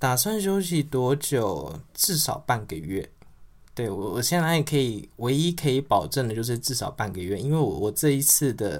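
Medium-pitched man with very wide pitch swings at a moderate pace, on a very clean recording with a silent background. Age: 30s. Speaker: podcast host. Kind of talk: casual livestream chat.

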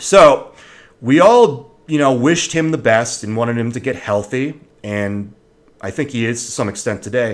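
Talking with ordinary pitch variation at a moderate pace, a man uses a normal speaking voice. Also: medium pitch for a man. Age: 30s. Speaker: video blogger. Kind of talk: casual monologue.

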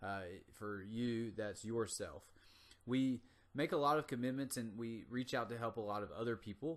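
On a quiet background, a man in an American accent uses a normal speaking voice, medium in pitch with ordinary variation, at a moderate pace. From US South, North Carolina. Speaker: motivational podcast host, gym owner. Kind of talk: motivational monologue. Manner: casual.

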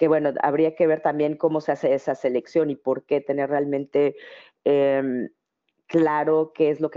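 A woman talks in a very deep, low pitch. Her intonation is monotone and flat. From Mexico City. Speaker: actress and public speaking coach. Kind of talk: interview. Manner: hesitant fillers, frequent repetitions.

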